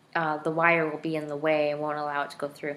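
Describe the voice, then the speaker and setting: Very fast and flat, a woman speaks in a very deep, low voice with monotone intonation. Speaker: vlogger documenting braces. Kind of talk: casual video diary. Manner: hesitant, many fillers.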